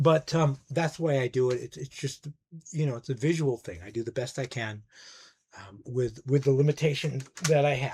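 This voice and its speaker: Somewhat breathy, a man speaks at a moderate pace and a medium pitch with ordinary variation. His loudness shifts a great deal. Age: 60s. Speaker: music YouTuber, record collector. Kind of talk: casual monologue review.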